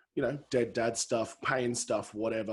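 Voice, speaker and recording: Speaking with an Australian accent, a man has a medium-pitched voice. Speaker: comedian and podcast host. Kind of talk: casual podcast chat.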